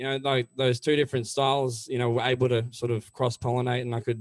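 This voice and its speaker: A man's medium-pitched voice with an Australian accent and flat, monotone intonation. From Melbourne, Australia. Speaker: country-rock singer. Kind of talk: interview.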